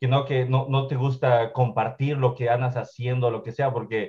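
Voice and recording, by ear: Medium pitch from a man, with fairly even intonation. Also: moderate pace.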